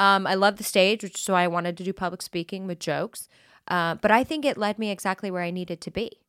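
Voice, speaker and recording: Speaking very fast at a medium pitch, a woman with an American accent uses ordinary pitch variation. The sound is dry and close with no echo, very clean, over a silent background. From Colorado. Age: 40s. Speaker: comedian and author. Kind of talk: casual chat.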